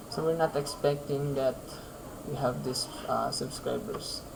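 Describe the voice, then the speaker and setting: There is audible room echo as a man with a medium pitch speaks at a fairly slow pace. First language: Filipino. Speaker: programming YouTuber. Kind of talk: coding tutorial. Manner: halting, many fillers.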